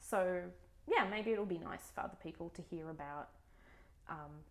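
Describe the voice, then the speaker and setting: Fairly quick speech in an Australian accent. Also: woman. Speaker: book vlogger. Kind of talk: casual vlog monologue. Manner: hesitant, many fillers.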